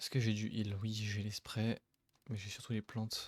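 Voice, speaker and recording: The voice is soft-spoken and somewhat breathy. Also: man. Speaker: gaming streamer. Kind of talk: let's play commentary. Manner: animated.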